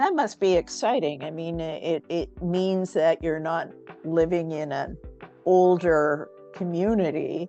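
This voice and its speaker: The woman's voice sits fairly low and her pitch varies in an ordinary way. She speaks at a fairly slow pace with music playing behind her. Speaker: community founder and interviewer. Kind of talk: interview questions.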